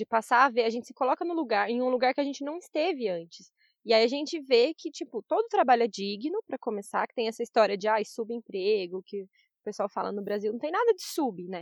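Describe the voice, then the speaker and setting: Talking at a fairly quick pace with hardly any pauses, a woman in a plain, everyday voice uses a fairly high pitch, lively intonation and big swings in loudness. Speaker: journalist and travel blogger. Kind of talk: casual interview chat.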